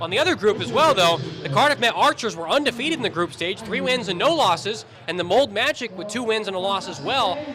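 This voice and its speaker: With a Western US accent, a man talks at a very fast pace in a raised, projected voice, his pitch swinging very widely against noticeable background noise. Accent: American, western US. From Utah, US. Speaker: basketball commentator. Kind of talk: live sports commentary. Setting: commentary booth at a live game.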